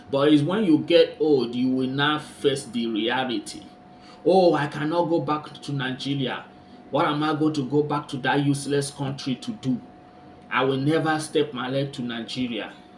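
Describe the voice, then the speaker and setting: Over noticeable background noise, a man with a fairly high pitch and ordinary pitch variation talks at a moderate pace. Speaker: commentary vlogger. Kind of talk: casual talk to camera.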